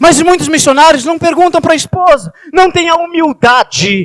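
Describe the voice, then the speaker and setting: A man speaks in an animated tone. The sound is dry and close, with no echo. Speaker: church elder, Bible teacher. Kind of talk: sermon. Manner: fast.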